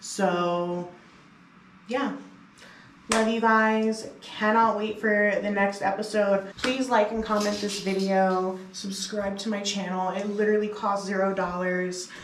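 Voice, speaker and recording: A woman with an American accent speaks fairly slowly and in a flat monotone, with audible room echo and noticeable background noise. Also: medium pitch for a woman. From US East Coast. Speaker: music producer and DJ, vlogger. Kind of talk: casual vlog talk to camera. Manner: loud, expressive.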